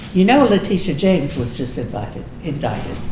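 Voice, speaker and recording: A medium-pitched woman with an American accent and very wide pitch swings, amid noticeable background noise and audible room echo. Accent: Texas accent, comes out now and then. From Texas, Austin. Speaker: political club speaker, retired music teacher. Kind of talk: informal talk to local club with discussion.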